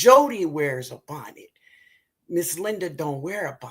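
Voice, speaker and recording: A woman speaks with a bright, sharp tone at a fairly slow pace. Her pitch swings very widely. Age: 60s. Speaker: gardening channel host. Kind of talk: live stream chat. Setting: live video stream. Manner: animated.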